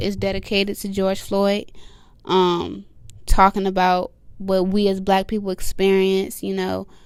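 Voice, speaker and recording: A woman talks at a fairly slow pace. She is soft-spoken. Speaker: rapper. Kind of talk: interview.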